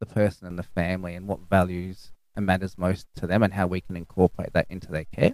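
The voice has a dark, mellow tone and an Australian accent. The sound is dry and close, with no echo. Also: man. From Australia, far west New South Wales. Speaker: clinical nurse specialist. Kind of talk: interview.

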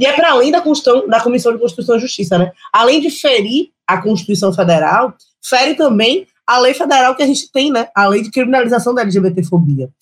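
Making very wide pitch swings, a woman speaks in a high voice at a fairly quick pace. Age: 30s. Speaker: lawyer and city councillor. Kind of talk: panel discussion.

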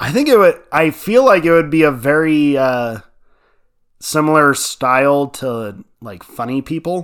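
A man with a plain, everyday voice speaks fairly slowly at a fairly high pitch, with lively intonation and big swings in loudness, in a very clean recording with a silent background. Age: 30s. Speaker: podcast co-host. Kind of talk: casual chat.

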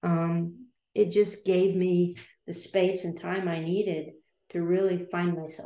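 A woman's dark, mellow tone in a flat monotone. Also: fairly low pitch for a woman, fairly slow pace. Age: 60s. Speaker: graphic designer. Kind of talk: casual chat. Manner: halting.

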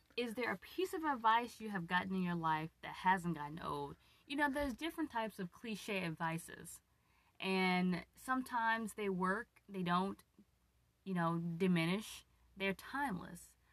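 A woman uses a normal speaking voice at a medium pitch, with lively intonation and a moderate pace. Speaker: host's wife, guest interviewer. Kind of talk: casual chat. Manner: playful, teasing.

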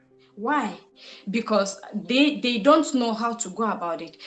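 A woman speaks at a moderate pace in a fairly high pitch with ordinary pitch variation, over noticeable background noise. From Cameroon. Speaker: purpose discovery coach and entrepreneur. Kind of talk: podcast interview. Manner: animated, exhortative.

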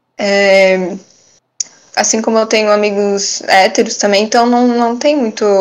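A woman with a normal speaking voice talks at a fairly high pitch and a fairly slow pace. Her intonation is fairly even, and her loudness stays very even. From Brusque, Santa Catarina, southern Brazil. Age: 20s. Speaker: barista. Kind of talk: interview.

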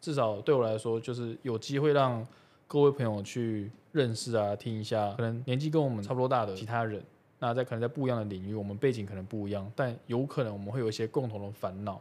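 At a medium pitch with ordinary pitch variation, a man rattles along very fast. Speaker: podcast host. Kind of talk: casual chat. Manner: talkative.

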